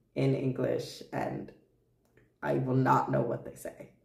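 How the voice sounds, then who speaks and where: Audible room echo accompanies a man speaking at a very slow pace. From Japan, Tokyo. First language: Japanese. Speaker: streamer. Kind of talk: casual chat. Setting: live stream. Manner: halting.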